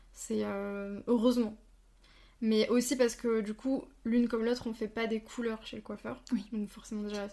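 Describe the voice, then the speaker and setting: A woman speaks in a dark, mellow tone at a fairly high pitch. Her delivery is flat and monotone, at a fairly slow pace. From Franche-Comté. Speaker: podcast host. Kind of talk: interview.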